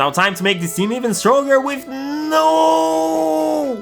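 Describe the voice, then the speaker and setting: A man with a non-native accent talks at a high pitch, his pitch swinging very widely. Music plays in the background. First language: not English. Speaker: gaming YouTuber. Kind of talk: gameplay commentary narration.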